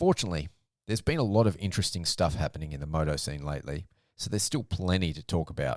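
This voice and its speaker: A man with an Australian accent talks at a very fast pace. His pitch is very deep and low. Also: ordinary pitch variation. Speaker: motocross podcast host. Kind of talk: solo podcast commentary.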